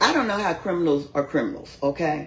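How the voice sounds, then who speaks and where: A somewhat breathy woman with an American accent, speaking at a fairly quick pace with very wide pitch swings. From Philadelphia. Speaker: county commissioner. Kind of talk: interview, personal story.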